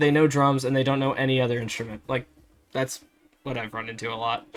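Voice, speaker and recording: A man talks at a fairly quick pace. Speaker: podcast co-host. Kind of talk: casual chat. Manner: halting.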